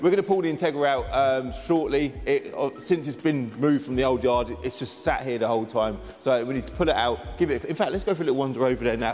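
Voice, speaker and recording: A man's very fast speech with ordinary pitch variation. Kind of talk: casual vlog chat. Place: garage. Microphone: lapel.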